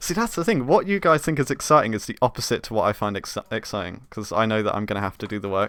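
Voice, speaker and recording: In a southern English accent, a man talks at a very fast pace with a medium pitch and lively intonation. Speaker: game developer streamer. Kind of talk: live stream tutorial chat. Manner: halting, many fillers.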